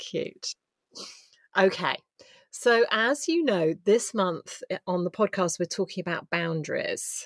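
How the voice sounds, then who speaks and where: In an English accent, a woman speaks very slowly with lively intonation, the sound dry and close with no echo, in a very clean recording over a silent background. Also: medium pitch for a woman. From England. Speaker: podcast host and coach. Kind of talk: casual interview.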